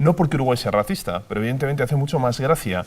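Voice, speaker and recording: A man with a Spanish accent speaks at a very fast pace. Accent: Spanish (Spain), intact. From Spain. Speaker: TV presenter, migrant. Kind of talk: TV panel discussion.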